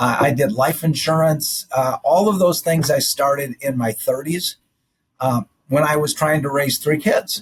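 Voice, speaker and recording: Somewhat breathy, the voice moves at a fairly slow pace with very even loudness and ordinary pitch variation. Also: man, fairly high pitch for a man. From South Dakota. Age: 60s. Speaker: general surgeon. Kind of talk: interview.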